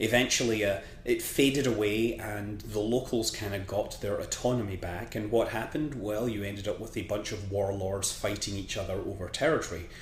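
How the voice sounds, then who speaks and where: With audible room echo, a man with a Scottish accent speaks at a moderate pace in a fairly low, somewhat breathy voice with fairly even intonation. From Scotland. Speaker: history commentator. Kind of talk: casual explainer monologue. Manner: hesitant, many fillers.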